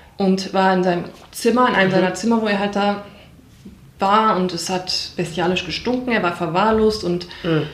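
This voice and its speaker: Over noticeable background noise and audible room echo, a woman speaks at a moderate pace with fairly even intonation. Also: medium pitch for a woman. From Ruhr area, Germany (Wattenscheid). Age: 30s. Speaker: bereaved daughter of suicide victim. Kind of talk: personal testimony. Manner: halting.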